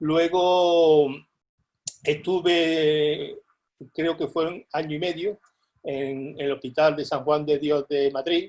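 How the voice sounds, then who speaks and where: Speaking very slowly with long, frequent pauses, a man uses a fairly high pitch and a monotone, flat intonation. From Andalusia, Lucena (Córdoba). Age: 60s. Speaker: polio survivor. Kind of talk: testimony.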